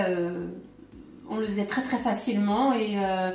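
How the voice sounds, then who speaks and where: Audible room echo around a woman's moderately paced, medium-pitched voice. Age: 40s. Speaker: family caregiver. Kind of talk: testimony. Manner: halting.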